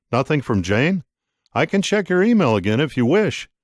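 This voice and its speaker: A man does a put-on character voice at a fairly high pitch, with very wide pitch swings. The sound is dry and close with no echo, in a very clean recording with a silent background. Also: moderate pace, very even loudness. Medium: read story. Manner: formal, deferential.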